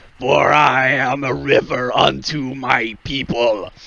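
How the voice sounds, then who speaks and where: A man uses a raspy, put-on character voice at a medium pitch and a fairly slow pace. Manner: solemn, declaring.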